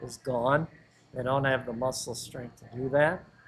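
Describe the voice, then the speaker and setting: Here is a man with an American accent and a fairly high pitch. His voice is somewhat breathy. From US Midwest (Joliet, Illinois). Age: 70s. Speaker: personal trainer. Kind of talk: casual interview chat.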